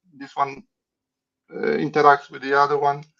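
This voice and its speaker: A fairly high-pitched man with a non-native accent and fairly even intonation. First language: not English. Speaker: playing card designer. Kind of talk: interview. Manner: halting, with many restarts.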